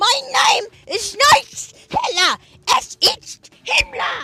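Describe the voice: An extremely high-pitched, put-on character voice is heard. It moves at a very slow pace.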